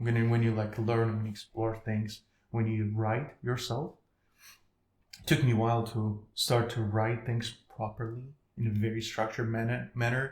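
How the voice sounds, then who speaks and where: The voice is somewhat breathy and moves at a moderate pace. Its intonation is monotone and flat. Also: man. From Ukraine. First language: Ukrainian. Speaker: podcast guest. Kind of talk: casual interview chat. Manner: halting, self-correcting.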